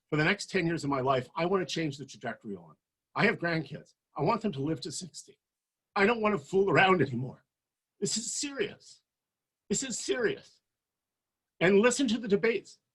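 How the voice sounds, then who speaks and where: A high-pitched man with a Canadian accent, fairly quick in pace, with very wide pitch swings, big swings in loudness and long, frequent pauses. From Canada, Winnipeg. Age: 60s. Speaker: political leadership candidate. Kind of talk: campaign speech. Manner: animated; fast.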